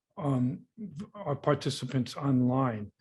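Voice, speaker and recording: Somewhat breathy and dark, mellow in tone, a man speaks with an American accent. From US Midwest, Chicago. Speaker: institute director, event moderator. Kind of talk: conference moderation. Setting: conference venue with audience.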